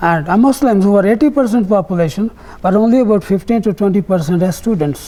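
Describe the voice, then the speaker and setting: A man with a Punjabi accent speaks very fast in a high voice, with ordinary pitch variation and very even loudness. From northwest Punjab (Rawalpindi area), now Pakistan. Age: 80s+. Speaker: partition survivor, camp co-founder. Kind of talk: oral history interview.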